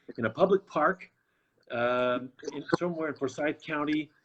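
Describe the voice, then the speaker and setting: In an American accent, an ordinary speaking voice carries lively intonation. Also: man. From Boston, US. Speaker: talk show host. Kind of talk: interview. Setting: live stream.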